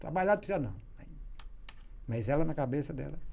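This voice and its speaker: This man speaks with a high pitch. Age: 60s. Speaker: journalist. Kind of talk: casual interview storytelling.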